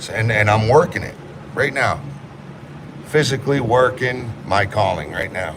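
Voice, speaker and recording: Speaking in a New England accent, a man uses a medium pitch and lively intonation at a moderate pace with long, frequent pauses. The recording carries noticeable background noise and audible room echo. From Maine, US (Rockland area). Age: 30s. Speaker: livestreamer and home renovation contractor. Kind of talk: casual livestream chat. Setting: live stream at a renovation job site.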